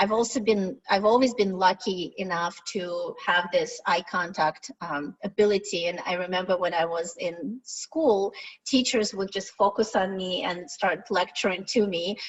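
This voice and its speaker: Over noticeable background noise, a woman with a Russian accent speaks at medium pitch and a fairly slow pace, with hardly any pauses. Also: ordinary pitch variation. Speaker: product management director. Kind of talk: webinar presentation. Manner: direct.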